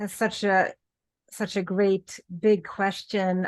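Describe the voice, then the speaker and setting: A woman with a Swedish accent speaks at a very slow pace and medium pitch. The background is quiet. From Sweden. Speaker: author in addiction recovery. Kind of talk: interview.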